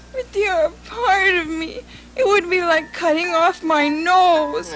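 Over clear background noise, a woman with an extremely high pitch speaks at a fairly slow pace. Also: ordinary pitch variation. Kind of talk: dramatized children's folktale.

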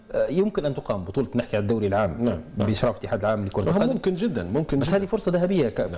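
A man talks with very wide pitch swings. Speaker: studio guest or commentator. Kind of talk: interview answer. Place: studio. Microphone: lapel.

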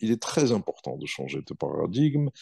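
A man speaks against a quiet background. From southern Algeria (M'zab region); Algeria. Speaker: political commentator; interview guest, commentator. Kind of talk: interview. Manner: hesitant, many fillers. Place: home room. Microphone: earbuds.

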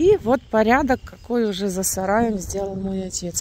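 A woman talks at a fairly slow pace in a dry sound with no echo. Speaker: rural homestead vlogger. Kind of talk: casual vlog chat. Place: open country. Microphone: phone near.

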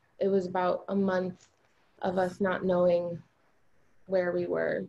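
A woman speaks at a moderate pace with a medium pitch. Her tone is dark and mellow, her intonation flat and monotone. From US South. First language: Albanian. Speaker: hairstylist and poet; poet. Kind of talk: panel discussion with poem reading. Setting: video call. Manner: hesitant, many fillers. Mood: earnest, reflective. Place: home room. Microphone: video call.

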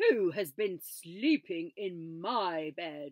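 A put-on character voice, gruff and growling, comes at a middle pitch. The pace is very slow. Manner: snarling, gruff.

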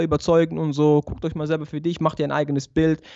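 Words pour out very fast. Behind the voice, it is quiet. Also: man. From Switzerland, Basel. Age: 20s. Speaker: barber and convert to Islam; guest. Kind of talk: interview, personal testimony. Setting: remote video call. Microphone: good audio equipment; studio mic.

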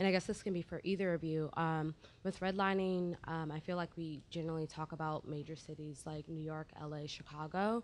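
A woman's normal speaking voice in an American accent, fairly low in pitch, at a fairly quick pace with hardly any pauses and fairly even intonation. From Virginia. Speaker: audience member. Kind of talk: audience question. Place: stage.

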